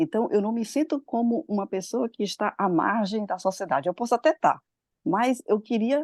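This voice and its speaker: A woman's fairly high voice with lively intonation at a moderate pace, over a quiet background. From Brazil. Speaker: study group participant. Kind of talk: group discussion contribution. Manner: halting.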